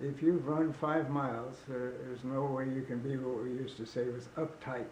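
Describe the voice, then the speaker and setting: Against noticeable background noise, a man speaks at medium pitch and a moderate pace in a monotone, flat intonation. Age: 90s. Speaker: runner and paddler. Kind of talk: interview answer. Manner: hesitant.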